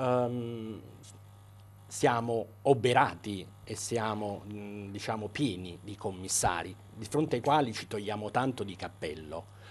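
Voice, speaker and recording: A man at a fairly low pitch and a very slow pace, with big swings in loudness. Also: ordinary pitch variation. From Italy. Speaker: doctor and debut novelist. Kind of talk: interview. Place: studio. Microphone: lapel.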